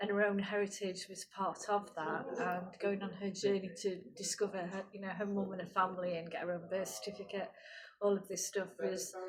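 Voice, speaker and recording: Under noticeable background noise, a woman speaks with a monotone, flat intonation. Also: medium pitch for a woman, moderate pace. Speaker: artist. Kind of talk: interview. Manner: hesitant, many fillers.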